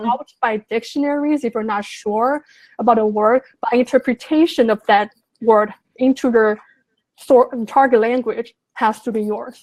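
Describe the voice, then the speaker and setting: A woman speaks with a Chinese accent and fairly even intonation. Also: fairly high pitch for a woman, moderate pace. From Sichuan, China. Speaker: translator. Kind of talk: interview answer.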